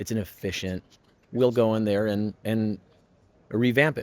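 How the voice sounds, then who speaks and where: With an American accent, a man speaks at a moderate pace in a fairly low pitch and fairly even intonation, on a very clean recording with a silent background. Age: 30s. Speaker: custom machinery manufacturer. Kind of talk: interview. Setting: trade show floor. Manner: hesitant with fillers.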